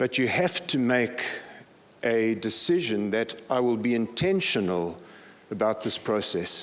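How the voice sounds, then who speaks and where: This man has a normal speaking voice and talks at a fairly slow pace. His intonation is lively while his loudness stays very even. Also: medium pitch for a man. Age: 60s. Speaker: pastor. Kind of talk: conference talk.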